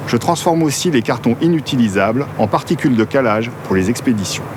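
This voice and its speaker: Background noise is noticeable here. A man at medium pitch speaks at a fairly quick pace. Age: 50s. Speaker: business founder. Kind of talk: scripted narration. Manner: formal.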